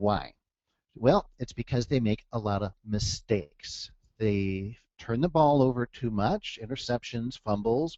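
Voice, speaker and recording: An unremarkable speaking voice, this man's is medium in pitch with ordinary pitch variation. He speaks at a fairly slow pace with an American accent. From US Midwest, Detroit, Michigan. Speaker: trading coach. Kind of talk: webinar presentation. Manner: casual, conversational with fillers.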